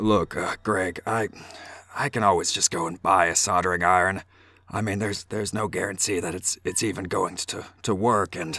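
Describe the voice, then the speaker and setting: In a put-on character voice that is raspy, monotone and flat in intonation, the speaker moves at a moderate pace with long, frequent pauses. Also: man, fairly low pitch for a man. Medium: read story. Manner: casual, colloquial.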